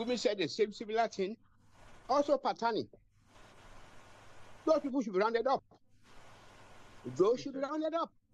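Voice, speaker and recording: A man's extremely high pitch and lively intonation at a fairly quick pace, broken by long, frequent pauses, in a dry, close sound with no echo. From Nigeria. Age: 80s+. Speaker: audience participant in online forum. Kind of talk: public comment in online discussion. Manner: animated.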